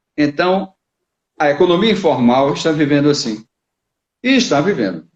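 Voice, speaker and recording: A man with an ordinary speaking voice talks at a moderate pace in a fairly high pitch, with lively intonation and very even loudness. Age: 60s. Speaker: business consultant. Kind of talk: live interview. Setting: online live stream.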